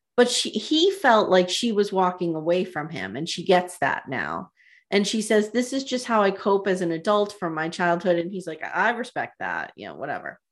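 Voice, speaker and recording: A woman at a moderate pace with lively intonation, big swings in loudness and hardly any pauses. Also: medium pitch for a woman. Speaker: podcast co-host, student. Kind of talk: casual chat recapping reality TV.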